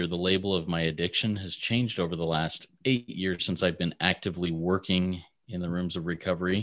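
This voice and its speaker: The man's voice is very deep and low. His intonation stays fairly even. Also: hardly any pauses. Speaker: recovery guest. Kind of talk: casual chat.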